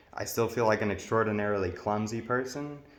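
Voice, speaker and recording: This man has a fairly low pitch and talks at a moderate pace. Audible echo fills the room. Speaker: vlogger talking about his personality disorder. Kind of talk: personal vlog monologue. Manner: somewhat monotone, mild expression; hesitant, many fillers.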